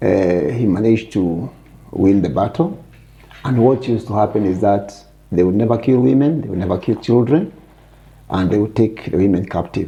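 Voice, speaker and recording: A man's fairly low, somewhat breathy voice with a dark, mellow tone, lively intonation, a moderate pace and long, frequent pauses. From Kenya, Kiambu (Gatundu). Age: 70s. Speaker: Mau Mau survivor and retired business executive. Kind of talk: interview.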